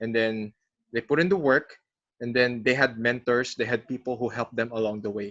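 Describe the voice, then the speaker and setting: Speaking fairly quickly with a Filipino accent, a man keeps a medium pitch and fairly even intonation. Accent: Filipino English, code-switching with Tagalog. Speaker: podcast host, broadcasting coach. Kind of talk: podcast interview.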